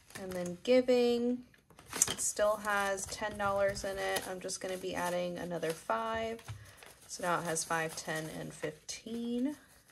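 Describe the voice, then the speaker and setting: A woman speaks at a very slow pace with ordinary pitch variation. Noticeable background noise runs under her voice. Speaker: budgeting vlogger. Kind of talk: casual tutorial narration. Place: home room.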